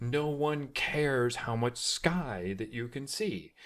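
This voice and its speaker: Recorded very cleanly against a silent background, a man with an American accent speaks at a fairly slow pace. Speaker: tech reviewer. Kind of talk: product review tutorial. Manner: loud.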